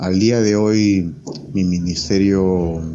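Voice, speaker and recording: A man speaks at a very slow pace in a very deep, low pitch. His intonation stays fairly even. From Peru. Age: 30s. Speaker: software engineer, former meme page admin. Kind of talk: interview.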